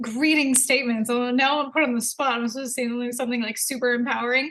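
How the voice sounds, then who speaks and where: A woman at a very fast pace, high-pitched and monotone, with a flat intonation and a slight Canadian accent. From Canada, Edmonton. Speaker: entrepreneur. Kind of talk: casual interview.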